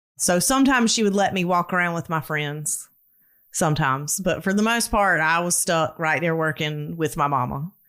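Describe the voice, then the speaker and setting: A Southern US accent at a moderate pace with lively intonation and very even loudness, on a very clean recording with a silent background. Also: woman, fairly low pitch for a woman. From US South. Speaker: storyteller guest. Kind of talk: casual interview, personal story.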